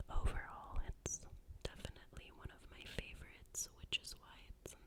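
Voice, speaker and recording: Whispering at a fairly slow pace. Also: woman. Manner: whispered, soft-spoken.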